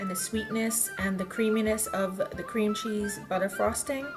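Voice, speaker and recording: Music plays in the background as a woman speaks at a moderate pace with a fairly high pitch. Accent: Bahamian. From Bahamas. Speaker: home baker. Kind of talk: cooking tutorial.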